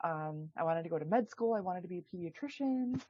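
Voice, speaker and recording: A woman with a Minnesotan accent talks at a fairly quick pace. Her fairly low voice has lively intonation. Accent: Minnesota. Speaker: chiropractor and women's health expert. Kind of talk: podcast interview. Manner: casual, many fillers.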